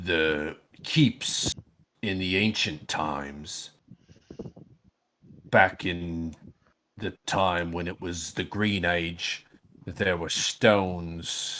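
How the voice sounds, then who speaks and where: In a put-on character voice, a man growls raspy words at a very deep, low pitch and a very slow pace, with long, frequent pauses. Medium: actual play.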